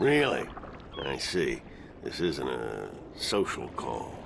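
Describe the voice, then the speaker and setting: Doing a gruff, put-on character voice, a man speaks at a very slow pace against clear background noise. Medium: video game. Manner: gruff, swearing, laughing.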